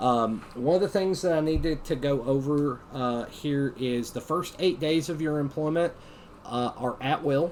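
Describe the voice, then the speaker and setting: This speaker has a Southern Appalachian accent. The delivery is fairly slow, with fairly even intonation. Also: man. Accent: Southern Appalachian (Tennessee mountains). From US South, mountains of Tennessee. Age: 40s. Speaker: training instructor. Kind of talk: lecture.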